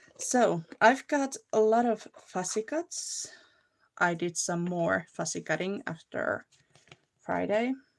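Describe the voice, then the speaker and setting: With a Finnish accent, a woman speaks at a very slow pace and medium pitch with lively intonation. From Finland. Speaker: crafting livestreamer. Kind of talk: casual livestream chat and crafting tutorial. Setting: live video stream.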